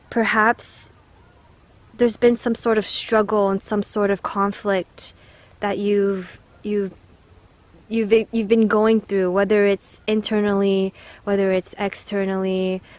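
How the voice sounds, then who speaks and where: The voice is soft-spoken and moves at a very slow pace with long, frequent pauses. Its intonation is monotone and flat. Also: woman. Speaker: tarot card reader. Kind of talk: pick-a-card tarot reading.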